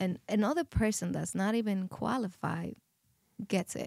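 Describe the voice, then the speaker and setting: On a very clean recording with a silent background and a dry, close sound with no echo, a woman with a Spanish accent speaks with ordinary pitch variation. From Dominican Republic, rural countryside. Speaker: podcast guest. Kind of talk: testimony. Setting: studio. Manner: halting.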